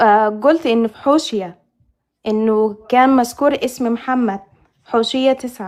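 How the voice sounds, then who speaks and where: A woman speaks very slowly at a high pitch. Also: ordinary pitch variation. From northern Sudan. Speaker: caller. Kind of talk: call-in religious debate. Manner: halting.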